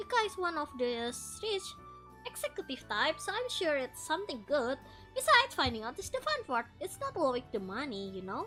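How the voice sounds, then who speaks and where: With clear music in the background, a woman performs a put-on character voice at a high pitch. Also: moderate pace. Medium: virtual streamer. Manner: playful, teasing.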